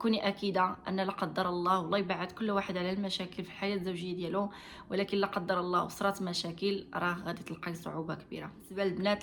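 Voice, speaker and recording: With a Moroccan accent, a woman talks at a very fast pace in a medium pitch and monotone, flat intonation over noticeable background noise. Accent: Moroccan Darija. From Morocco. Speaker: vlogger giving marriage advice. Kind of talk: advice monologue to camera. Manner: hesitant, frequent fillers.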